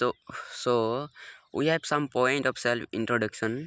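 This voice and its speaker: A man with an Assamese accent talks at a fairly slow pace, with fairly even intonation and a bright, sharp tone. The recording is very clean with a silent background and a dry, close sound with no echo. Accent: Indian English, Assamese. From India, Assam. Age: 18. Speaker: English learner, college student. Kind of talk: beginner speaking practice vlog. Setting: outdoors at sunrise. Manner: halting, hesitant with repetitions.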